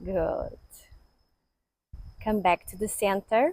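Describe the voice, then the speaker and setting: With a calm tone and ordinary pitch variation, a woman speaks at medium pitch in a dry, close sound with no echo. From Portugal. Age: 50s. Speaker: yoga teacher. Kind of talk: guided yoga class instruction. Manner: slow, calm.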